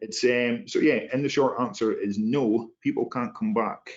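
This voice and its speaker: A man speaks with an Inverness accent. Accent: Inverness Scottish. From Scotland, Inverness. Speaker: human factors specialist. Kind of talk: panel discussion answer.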